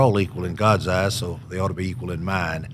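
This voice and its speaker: Here is a man with a Southern US accent. His pitch sits fairly low. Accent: Southern US (Georgia). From US South, Georgia (Columbus). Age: 70s. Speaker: author. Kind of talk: podcast interview.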